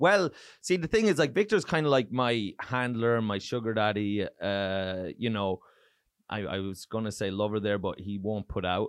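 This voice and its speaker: Over a quiet background, a man with an Irish accent talks at a moderate pace and a fairly low pitch, with ordinary pitch variation. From Ireland. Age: 30s. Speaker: touring stand-up comedian. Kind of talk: casual chat. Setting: studio.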